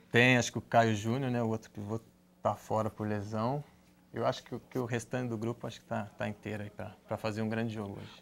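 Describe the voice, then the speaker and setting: A man at a very fast pace, monotone and flat, with long, frequent pauses. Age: 30s. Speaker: futsal player; guest. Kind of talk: studio interview. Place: studio.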